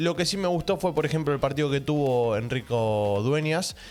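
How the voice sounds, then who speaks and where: The man talks at a fairly quick pace. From Argentina. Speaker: football reaction youtuber. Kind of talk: football match analysis vlog. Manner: speaking quietly.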